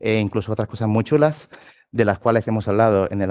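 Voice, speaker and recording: Delivered at a fairly quick pace, the dark, mellow voice sounds dry and close with no echo, on a very clean recording with a silent background. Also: man. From southern Spain, Cádiz. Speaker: tech lead, conference speaker. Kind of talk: tech talk at meetup. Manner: fast.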